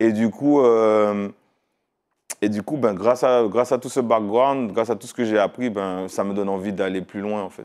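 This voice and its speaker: Against a quiet background, a man with a fairly low pitch talks at a moderate pace, his intonation fairly even but his loudness swinging widely. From Martinique. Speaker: music video director. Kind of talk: interview. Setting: studio. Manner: hesitant. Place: studio. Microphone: lapel.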